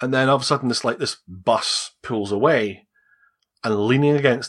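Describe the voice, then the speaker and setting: At a moderate pace, someone with a Scottish accent speaks over a quiet background. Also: man. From Scotland. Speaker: adoptee. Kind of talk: interview telling personal story. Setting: video call.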